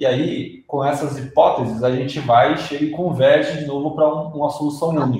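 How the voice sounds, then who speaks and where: Pitched fairly high, a man speaks at a moderate pace with fairly even intonation and hardly any pauses. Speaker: UX designer presenter. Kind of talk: lecture. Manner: halting, many fillers.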